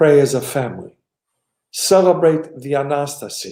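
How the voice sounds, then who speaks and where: A man speaks with an American accent. His tone is dark and mellow, and his pace is very slow. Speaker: archbishop. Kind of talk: interview answering questions, blessing message.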